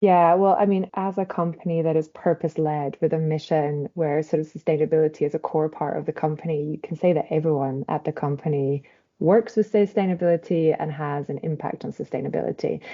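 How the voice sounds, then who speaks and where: At a fairly quick pace, a woman talks in a very deep, low voice with fairly even intonation. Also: hardly any pauses. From Scotland. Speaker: corporate sustainability director. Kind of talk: podcast interview. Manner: hesitant, many fillers.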